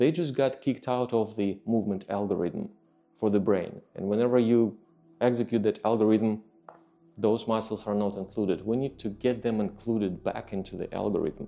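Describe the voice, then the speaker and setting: Music plays behind a man with a Russian accent and a fairly low pitch. He talks at a moderate pace with fairly even intonation. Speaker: fitness trainer. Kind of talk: podcast monologue. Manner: halting, with many fillers.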